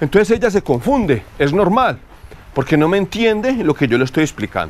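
A man's high voice at a fairly quick pace, with very wide pitch swings and long, frequent pauses. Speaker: horse trainer. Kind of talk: outdoor training tutorial. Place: farm.

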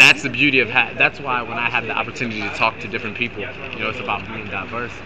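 Speaking at a very fast pace with monotone, flat intonation, a man is heard over noticeable background noise. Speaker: rapper. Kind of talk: street debate. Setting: outdoors. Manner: halting. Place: street.

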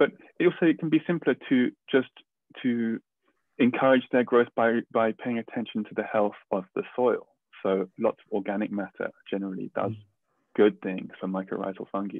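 A voice at a moderate pace with ordinary pitch variation, recorded dry with no echo against a quiet background. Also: man. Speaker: biologist and researcher; guest. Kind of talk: explaining science; interview answer. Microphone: video call.

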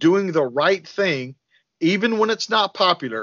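Lively intonation runs through speech at a fairly slow pace. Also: man, quiet background. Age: 40s. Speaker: firearms and self-defense trainer; self-defense trainer. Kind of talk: podcast interview. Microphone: video call.

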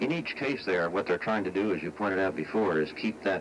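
A man with an American accent and an ordinary speaking voice, fairly low-pitched, with ordinary pitch variation. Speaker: former astronaut, television space analyst. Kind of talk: television news expert commentary.

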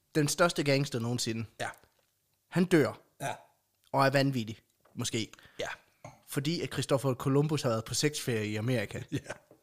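A moderate pace with long, frequent pauses and ordinary pitch variation. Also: man, fairly high pitch for a man. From Denmark, central Jutland (Aulum). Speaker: podcast co-host. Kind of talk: casual chat.

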